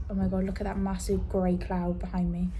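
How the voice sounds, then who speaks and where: A woman is speaking in a room with audible echo. Noticeable background noise is also present. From northern England, Leeds. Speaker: vlogger. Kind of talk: casual vlog monologue. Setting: on a ferry, outdoors. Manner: whispering, quiet.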